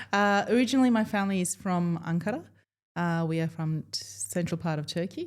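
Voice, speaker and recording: A woman with an Australian accent, fairly low in pitch, lively in intonation, at a fairly quick pace. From Melbourne, Australia. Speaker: dentist. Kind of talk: podcast interview.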